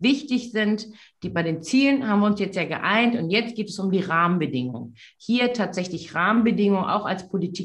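Against a quiet background, a woman with a somewhat breathy voice speaks at a moderate pace. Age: 40s. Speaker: politician. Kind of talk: debate. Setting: video call. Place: office. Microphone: webcam.

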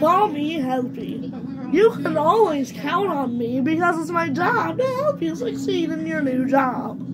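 A woman speaks in a high-pitched, put-on character voice at a fairly slow pace. Loud noise fills the background. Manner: cheerfully helpful.

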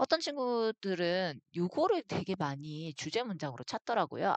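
Very wide pitch swings in a dry, close sound with no echo, set against a quiet background. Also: woman. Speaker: English teacher. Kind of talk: lecture.

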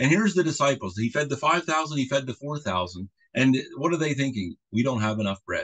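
Against a quiet background, a man speaks with lively intonation at a fairly high pitch. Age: middle-aged. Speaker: pastor. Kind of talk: sermon. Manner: halting. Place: home room. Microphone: video call.

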